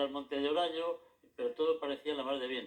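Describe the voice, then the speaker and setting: This man has a fairly high pitch. His intonation is monotone and flat. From Madrid, Spain. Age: 80s+. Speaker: retired local historian and author. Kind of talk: interview. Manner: halting, with frequent repetitions.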